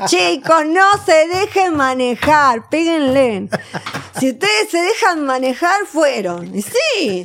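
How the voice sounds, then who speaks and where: A woman's high voice with very wide pitch swings at a very slow pace. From Argentina, Buenos Aires. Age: 40s. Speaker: Madonna impersonator and performer. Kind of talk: interview. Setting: studio.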